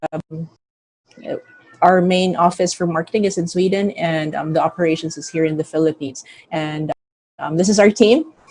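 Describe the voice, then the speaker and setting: Music plays behind a woman with a fairly low pitch. She speaks at a moderate pace with ordinary pitch variation. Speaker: company CEO. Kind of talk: company presentation.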